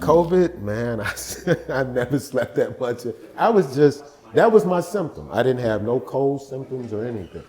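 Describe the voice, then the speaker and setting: Noticeable background noise surrounds a man with a medium pitch. His intonation is lively and his pace moderate. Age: 60s. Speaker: podcast guest. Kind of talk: casual chat.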